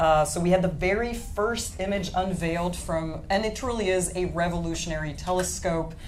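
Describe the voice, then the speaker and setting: There is noticeable background noise and audible room echo as a woman talks at a moderate pace with a fairly low pitch and fairly even intonation. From France. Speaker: astronomy presenter. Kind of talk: live science panel presentation. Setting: live show with studio audience.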